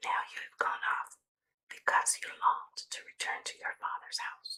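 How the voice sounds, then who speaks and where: Someone whispers in a soothing tone. The pace is fairly slow. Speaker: ASMR Bible reader. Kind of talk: scripture reading. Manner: whispered; soft-spoken, soothing.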